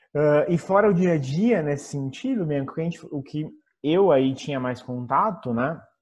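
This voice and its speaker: This man talks at a fairly slow pace in a fairly high, somewhat breathy voice. His pitch varies in an ordinary way. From Brazil. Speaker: former tech company marketing employee. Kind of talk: interview.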